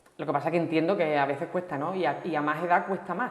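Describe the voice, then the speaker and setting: In a slight Sevillian accent, a woman talks at a fairly quick pace and fairly low pitch. Audible room echo surrounds her voice. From Seville, Andalusia, Spain. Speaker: language course participant. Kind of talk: TV interview.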